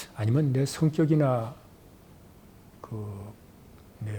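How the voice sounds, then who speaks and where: The voice has a dark, mellow tone, ordinary pitch variation and a somewhat breathy quality. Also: man. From Korea, Seoul. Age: 70s. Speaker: retired journalist and broadcaster. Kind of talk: oral history interview.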